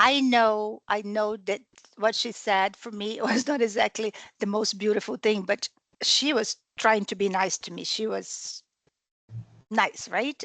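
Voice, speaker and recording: Using a non-native accent, a woman with a fairly high pitch speaks at a fairly slow pace in a dry, close sound with no echo. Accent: foreign. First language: not English. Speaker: training participant. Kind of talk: group discussion comment. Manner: halting.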